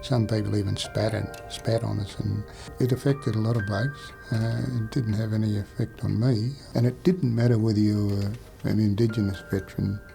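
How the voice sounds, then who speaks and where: A quiet voice in an Australian accent, ordinary pitch variation, music playing in the background. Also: man, fairly low pitch for a man. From South Burnett, Queensland, Australia. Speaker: Vietnam War veteran. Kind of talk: personal life story interview. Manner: quietly spoken.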